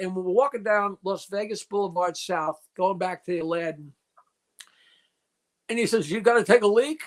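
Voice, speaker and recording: A man with an American accent speaks at a moderate pace in a high voice, his loudness swinging widely. The sound is dry and close, with no echo. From New York. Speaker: comedian. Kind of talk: casual chat.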